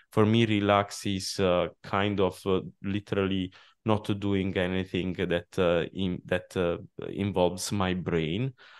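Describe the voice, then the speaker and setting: A man with an Italian accent speaks in a very deep, low voice. His pace is fairly slow and his intonation monotone and flat. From Italy. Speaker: software company CEO. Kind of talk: interview. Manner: halting, many fillers.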